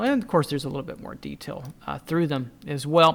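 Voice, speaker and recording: A man's fairly high voice is captured on a very clean recording over a silent background. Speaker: drawing instructor. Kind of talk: tutorial. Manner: casual, halting with fillers.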